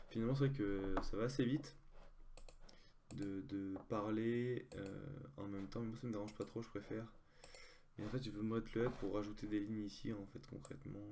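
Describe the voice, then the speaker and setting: A man's fairly low, dark, mellow voice at a moderate pace, with ordinary pitch variation, long, frequent pauses and audible room echo. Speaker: online poker player. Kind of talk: live gameplay commentary. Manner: halting, many fillers.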